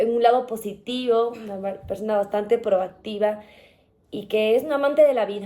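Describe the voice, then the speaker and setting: Fairly high-pitched yet dark and mellow in tone, a woman speaks at a moderate pace with fairly even intonation. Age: 30s. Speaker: journalist, podcast guest. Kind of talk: interview, personal testimony. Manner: hesitant, many fillers and restarts.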